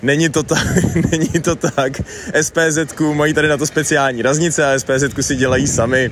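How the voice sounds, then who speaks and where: Over noticeable background noise, a man with a fairly high pitch talks at a moderate pace in a monotone, flat intonation, his loudness very even. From Czech Republic, Plzeň region. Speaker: traveller and radio podcast host. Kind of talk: spoken travel diary.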